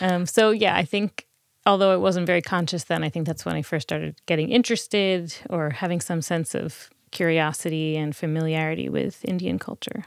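A woman with an American accent and a fairly low pitch talks at a fairly quick pace with ordinary pitch variation, an unremarkable speaking voice, in a very clean recording with a silent background. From New Jersey. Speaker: museum curator. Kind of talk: interview. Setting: studio.

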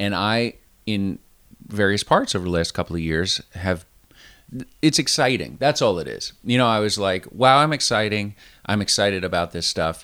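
Lively intonation and a bright, sharp tone carry the speech at a moderate pace on a very clean recording with a silent background. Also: man, fairly low pitch for a man. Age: 40s. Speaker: running podcast co-host. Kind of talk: casual chat.

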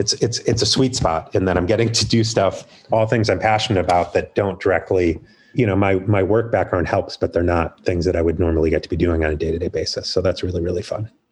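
Somewhat breathy and fairly low-pitched, a man rattles along at a very fast pace with ordinary pitch variation. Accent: American. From US Midwest, Chicago area. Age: 40s. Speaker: artist manager. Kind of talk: interview.

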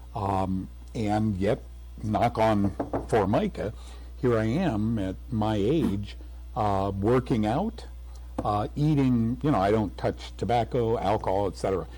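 Using very wide pitch swings, a man with a fairly low, somewhat breathy, dark, mellow voice talks at a fairly slow pace. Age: 70s. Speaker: health TV host and author, war veteran. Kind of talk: radio interview.

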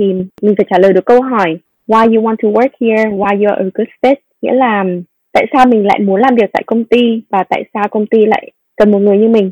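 The voice has a dark, mellow tone and fairly even intonation at a fairly quick pace. The sound is dry and close with no echo. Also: woman. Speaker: business analyst. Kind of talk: interview.

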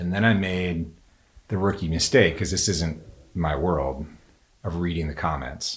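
With a very deep, low pitch and ordinary pitch variation, a man speaks at a fairly slow pace, leaving long, frequent pauses.

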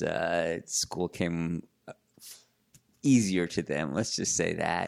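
Very slow speech in a New York accent, on a very clean recording with a silent background. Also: man. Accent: New York area American. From New York suburbs (Larchmont). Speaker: sports editor and journalist. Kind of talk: casual interview conversation.

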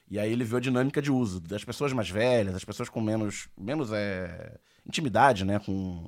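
With a normal speaking voice at medium pitch, a man talks at a moderate pace with ordinary pitch variation on a very clean recording with a silent background. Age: 40s. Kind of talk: casual chat.

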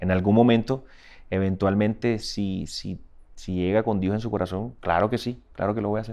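A man with a dark, mellow tone and fairly even intonation against a quiet background. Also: moderate pace. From Colombian Caribbean coast, Barranquilla. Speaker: singer, musician. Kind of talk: interview. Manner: halting, repeats words.

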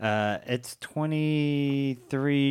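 A man talks in a medium pitch. The recording is very clean and the background silent. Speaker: podcast co-host. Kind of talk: casual chat.

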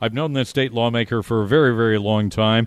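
This man has an ordinary speaking voice at a medium pitch with ordinary pitch variation. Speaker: radio talk show host. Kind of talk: live radio DJ patter, chatty talk-radio banter with ad reads. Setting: live remote broadcast from a bar's headquarters. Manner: upbeat, conversational, warm, with quick jokes and easy ad-lib rhythm.

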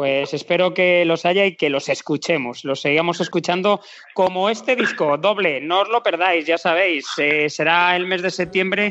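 A high-pitched man at a fairly slow pace, with hardly any pauses, very even loudness and ordinary pitch variation. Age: 40s. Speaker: podcast host. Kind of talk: interview.

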